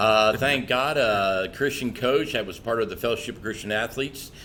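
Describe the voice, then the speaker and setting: With an American accent, a man speaks in an ordinary speaking voice at a fairly low pitch, with ordinary pitch variation. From US South, southwest Florida. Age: 60s. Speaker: pastor and church revitalization leader. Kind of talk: podcast interview. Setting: podcast.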